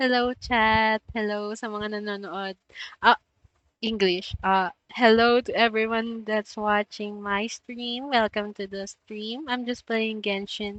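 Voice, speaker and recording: A woman with a Filipino accent, fairly high in pitch, very slow and monotone with flat intonation. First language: Tagalog. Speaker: streamer. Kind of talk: casual live-stream chat. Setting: live stream.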